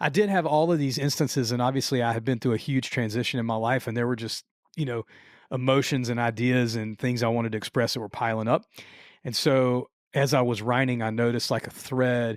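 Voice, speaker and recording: Recorded very cleanly with a silent background, a man with an American accent talks at a fairly quick pace in a medium pitch with fairly even intonation. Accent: southern US (redneck). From Louisiana. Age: 40s. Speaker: musician and songwriter. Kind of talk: casual podcast interview. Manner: casual, filler-heavy, repeats words.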